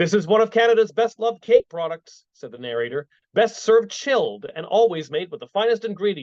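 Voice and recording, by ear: Lively intonation while reading aloud in a natural voice, against a quiet background.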